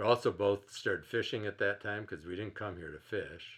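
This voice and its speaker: The speaker is a man with an American accent. He keeps a moderate pace. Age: 60s. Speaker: retired teacher and river conservationist. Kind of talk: interview.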